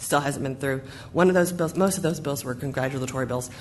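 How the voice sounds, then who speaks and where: A woman talks with fairly even intonation. Audible room echo surrounds her voice. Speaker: school district official. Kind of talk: board meeting report. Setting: school board meeting.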